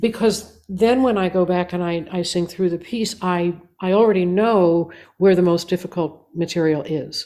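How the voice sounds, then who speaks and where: With a dark, mellow tone and fairly even intonation, a woman speaks at a moderate pace and a fairly low pitch. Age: 70s. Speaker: singer and composer. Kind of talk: interview. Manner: halting.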